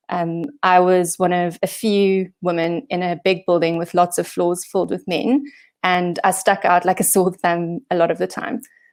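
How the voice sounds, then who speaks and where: With a South African accent, a woman speaks at a moderate pace with fairly even intonation in a very clean recording over a silent background. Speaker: software engineering manager. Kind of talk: conference talk. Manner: hesitant, many fillers.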